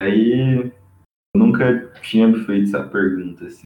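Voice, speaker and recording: This man talks at a medium pitch. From Brazil, São Paulo state (São José do Rio Preto). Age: 20s. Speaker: engineering student. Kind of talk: casual interview.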